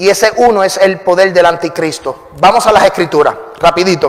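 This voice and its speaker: Noticeable background noise accompanies a high-voiced man who speaks at a moderate pace, his pitch varying in an ordinary way. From Puerto Rico. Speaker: pastor. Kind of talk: sermon.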